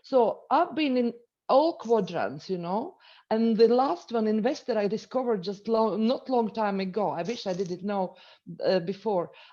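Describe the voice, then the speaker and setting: Against a quiet background, a woman with a Latvian accent speaks at a moderate pace, her fairly high voice dark and mellow in tone with lively intonation. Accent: non-native, Latvian. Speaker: entrepreneur and business coach. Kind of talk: webinar presentation. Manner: halting.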